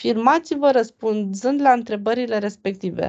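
Against a quiet background, a woman with a fairly high pitch and a dark, mellow tone talks at a moderate pace. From Romania, Constanța; Romania. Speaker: trainer and entrepreneur; trainer. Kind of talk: online lecture. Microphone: webcam.

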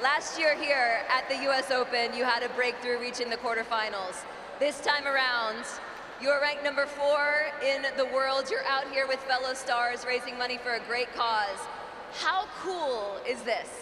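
Through noticeable background noise, a woman's high-pitched, raised and projected voice comes at a moderate pace with fairly even intonation. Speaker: on-court interviewer. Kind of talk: live event interviewing; interview questions. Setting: stadium with crowd. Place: stadium. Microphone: handheld.

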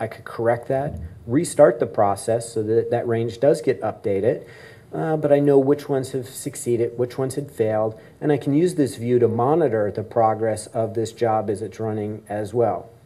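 A man's somewhat breathy voice has a dark, mellow tone, ordinary pitch variation and a moderate pace. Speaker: conference keynote speaker. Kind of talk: lecture. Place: hall. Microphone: camera far.

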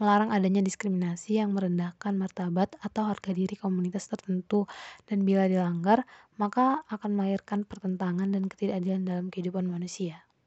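Using a plain, everyday voice, a woman talks at a medium pitch and a fairly quick pace with fairly even intonation. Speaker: psychology student. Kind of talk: class presentation.

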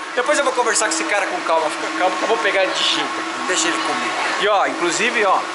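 Over loud background noise, the speaker talks at a very fast pace with lively intonation. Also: man. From Brazil. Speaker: motorsport vlogger. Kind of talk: casual walk-around vlog. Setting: outdoors at a racetrack. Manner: animated. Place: garage. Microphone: phone near.

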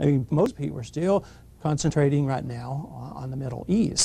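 A man talks in a dark, mellow tone. His voice is somewhat breathy. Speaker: guest. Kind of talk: interview answer. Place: studio.

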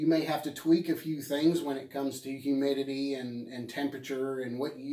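Over a quiet background with audible room echo, a man speaks at a moderate pace in a dark, mellow tone. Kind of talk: casual vlog advice. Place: shop. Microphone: phone near.

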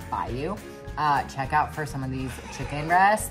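Clear music in the background behind a woman speaking at a moderate pace. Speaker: fitness coach vlogger. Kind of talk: casual vlog chat. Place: kitchen. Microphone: phone near.

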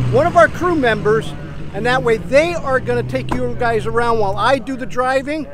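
The man speaks at a moderate pace. The sound is dry with no echo, and there is noticeable background noise. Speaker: truck vlogger. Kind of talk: casual vlog chat. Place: street. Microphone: phone near.

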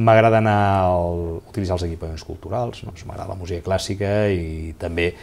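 A man's somewhat breathy voice, very deep and low in pitch, with a dark, mellow tone and fairly even intonation. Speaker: lawyer and former mayor; lawyer, former mayor. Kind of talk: interview. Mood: calm, reflective. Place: office. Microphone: lapel.

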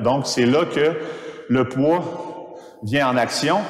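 Ordinary pitch variation with audible room echo. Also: man. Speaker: fitness coach. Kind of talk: tutorial. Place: gym.

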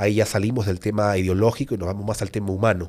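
A man talks over a quiet background. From Peru. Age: 30s. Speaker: YouTuber and author; podcast guest. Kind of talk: interview. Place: studio. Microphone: studio mic.

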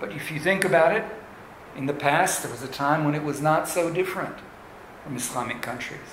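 Noticeable background noise and audible room echo surround a man's fairly high-pitched voice. He speaks fairly slowly with ordinary pitch variation. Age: old. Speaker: pastor. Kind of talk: bilingual testimony. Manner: halting, with many fillers.

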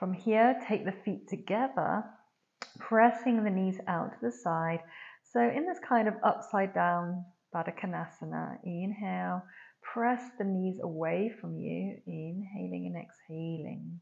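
A woman talks at a fairly slow pace over a quiet background. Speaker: yoga teacher. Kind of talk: guided yoga class. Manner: soft-spoken. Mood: calm, soothing.

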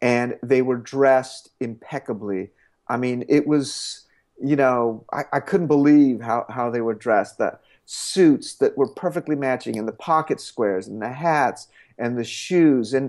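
A man talks fairly slowly with ordinary pitch variation, the background quiet. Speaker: interviewee. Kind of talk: interview answer. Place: home room. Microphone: earbuds.

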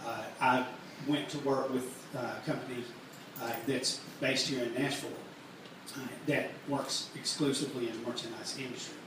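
Monotone and flat, a man talks with long, frequent pauses, audible room echo and noticeable background noise. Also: medium pitch for a man, moderate pace. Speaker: merchandise company owner. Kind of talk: live workshop talk. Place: stage.

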